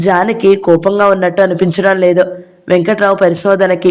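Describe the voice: The clip is plain reading aloud. Text is read out in this way.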